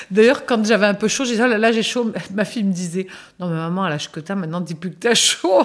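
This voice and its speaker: Talking at a very fast pace, a woman shows ordinary pitch variation. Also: medium pitch for a woman. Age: 60s. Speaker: interviewee sharing experience. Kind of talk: casual chat.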